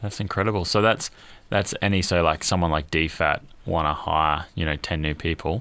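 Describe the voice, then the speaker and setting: A man's very deep, low voice with a bright, sharp tone, moderate pace and ordinary pitch variation. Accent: Australian. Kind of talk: casual interview chat.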